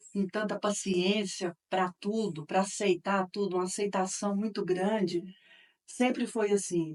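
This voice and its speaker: A woman's normal speaking voice at medium pitch, fairly slow and fairly even in intonation, with a dry, close sound and no echo. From Minas Gerais, Brazil (Campo Florido / Uberaba). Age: 60s. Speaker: interviewee, daughter of local politician. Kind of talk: interview testimony.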